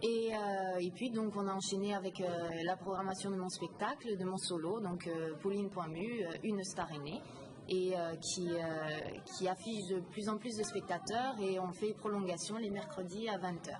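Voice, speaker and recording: Delivered at a fairly slow pace with fairly even intonation, the speech comes through noticeable background noise. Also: woman, medium pitch for a woman. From Lorraine, France. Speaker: comedian and theatre programmer. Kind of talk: interview. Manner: hesitant, many fillers.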